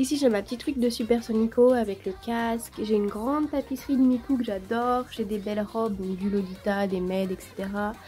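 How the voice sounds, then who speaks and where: Her pitch is fairly high, with ordinary variation. This woman talks at a fairly quick pace with hardly any pauses. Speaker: YouTuber. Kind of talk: casual room tour vlog. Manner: animated.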